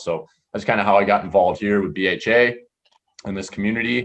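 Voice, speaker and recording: At a fairly quick pace, a man talks with an upstate New York accent. His intonation is fairly even. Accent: Inland North American (upstate New York). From western New York (Rochester, Finger Lakes area). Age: 30s. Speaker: hunting educator and podcast host. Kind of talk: webinar presentation. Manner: halting, many fillers.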